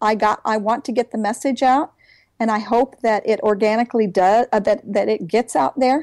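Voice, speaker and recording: A woman speaks at a fairly high pitch with ordinary pitch variation in a plain, everyday voice, the sound dry and close with no echo. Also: moderate pace. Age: 60s. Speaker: author and homeschooling mother. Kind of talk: interview.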